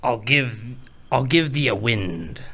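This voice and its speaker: A man puts on a character voice at a medium pitch. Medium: game stream.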